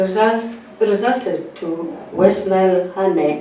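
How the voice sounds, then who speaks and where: Over noticeable background noise, a woman talks very slowly at a medium pitch with ordinary pitch variation. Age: 70s. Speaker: honey traders' association chairperson; retired teacher. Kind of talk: prepared speech read aloud.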